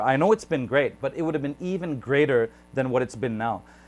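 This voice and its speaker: Delivered at a fairly quick clip, this unremarkable speaking voice carries lively intonation. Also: man. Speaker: YouTube interviewer. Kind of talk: interview question, conversational.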